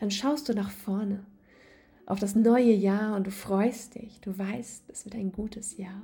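Very slow, calm, soothing speech from a woman at medium pitch, somewhat breathy and dark, mellow in tone, with monotone, flat intonation and big swings in loudness. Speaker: podcast host and yoga coach. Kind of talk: guided meditation. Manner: calm, soothing, slow and gentle; warm, intimate, addressing listener as du.

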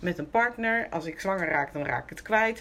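A woman speaks with lively intonation at medium pitch. Hers is a plain, everyday voice. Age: 50s. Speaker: interview guest sharing recovery story. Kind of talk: personal testimony in conversation.

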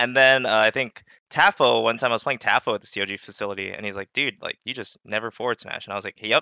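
Very fast and bright, sharp in tone, a man's voice sits at a medium pitch with fairly even intonation, recorded with a dry, close sound with no echo on a very clean recording with a silent background. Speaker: competitive video game player. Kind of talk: casual chat.

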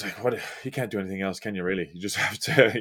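With an Irish accent, a man speaks at a fairly low pitch. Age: 20s. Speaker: rugby sevens player. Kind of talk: casual chat.

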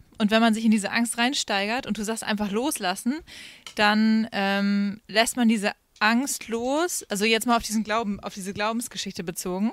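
A woman with a plain, everyday voice, fairly high in pitch, speaks at a moderate pace with fairly even intonation. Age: 30s. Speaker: singer and former youth leader. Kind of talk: casual chat. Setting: outdoors.

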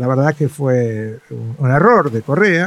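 A man's voice over noticeable background noise. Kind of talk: interview.

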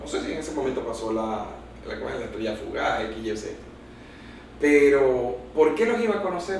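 Noticeable background noise and audible room echo are present. A man talks through them at a moderate pace. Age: 30s. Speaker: lawyer and cultural events entrepreneur. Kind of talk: casual interview.

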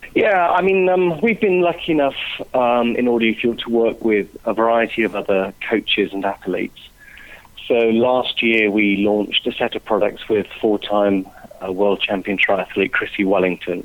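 This man has a plain, everyday voice at medium pitch. His intonation is lively and his pace moderate. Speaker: music producer and business founder. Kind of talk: interview.

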